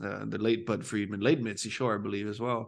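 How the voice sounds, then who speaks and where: An unremarkable speaking voice with an American accent and fairly even intonation comes through over a quiet background. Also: man. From Phoenix, Arizona, US. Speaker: comedian and comedy club promoter. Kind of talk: casual podcast interview.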